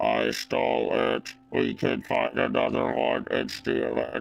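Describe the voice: A put-on character voice with a very deep, low pitch speaks at a fairly slow pace.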